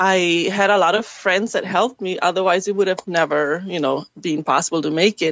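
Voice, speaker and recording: A woman's medium-pitched voice with a German accent and ordinary pitch variation. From Germany. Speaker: actress and filmmaker. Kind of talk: interview. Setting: webcast.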